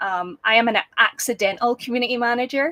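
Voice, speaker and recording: In a Scottish accent, a woman speaks at a fairly quick pace with a bright, sharp tone and ordinary pitch variation, the sound dry and close with no echo. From Scotland, small town. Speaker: business founder, community manager. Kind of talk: interview.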